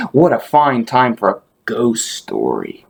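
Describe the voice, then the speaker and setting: At a fairly slow tempo, the speaker puts on a character voice. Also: man, medium pitch for a man. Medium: read story.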